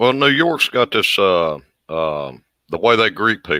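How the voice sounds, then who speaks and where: A man with a Southern US accent speaks at a fairly slow pace. The sound is dry and close with no echo, on a very clean recording with a silent background. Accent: Southern drawl. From US South. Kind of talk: casual chat.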